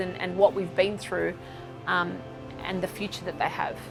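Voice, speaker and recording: The voice moves at a moderate pace while music plays in the background. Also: woman. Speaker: CEO and founder of community organisation. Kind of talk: interview answer.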